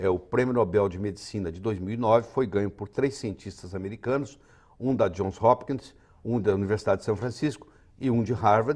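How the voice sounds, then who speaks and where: A man with a plain, everyday voice talks fairly quickly at a medium pitch, with ordinary pitch variation. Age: 60s. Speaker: physician and author. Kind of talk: TV health interview.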